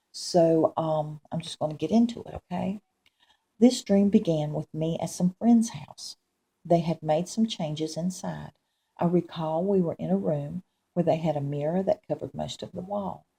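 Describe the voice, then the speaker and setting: A woman speaks at a moderate pace with a fairly low pitch, ordinary pitch variation and a dark, mellow tone. Her voice is somewhat breathy, and the sound is dry and close with no echo. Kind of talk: religious testimony, recounting a dream. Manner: hesitant, many fillers.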